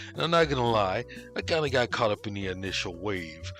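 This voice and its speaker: With music in the background, a man's pitch swings very widely as he talks at a moderate pace. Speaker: commentary YouTuber. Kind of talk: scripted commentary narration. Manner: sarcastic, humorous.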